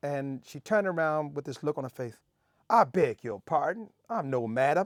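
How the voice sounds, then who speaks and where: On a very clean recording with a silent background, a man talks with very wide pitch swings. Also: dry, close sound with no echo. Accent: Southern US. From Memphis, Tennessee. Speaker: Navy veteran, former cook. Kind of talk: interview answer.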